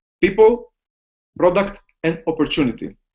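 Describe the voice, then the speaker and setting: A man talks in a high voice with a Greek accent and lively intonation. The background is quiet. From Greece. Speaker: business opportunity presenter. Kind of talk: sales pitch. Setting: online video hangout from home office. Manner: halting.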